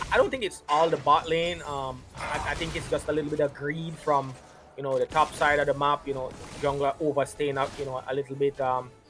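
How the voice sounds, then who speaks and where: A man with a Jamaican accent talks at a fairly quick pace in a fairly high pitch. His intonation is monotone and flat, and background noise is noticeable. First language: Jamaican Patois. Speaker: esports commentator. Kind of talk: live commentary.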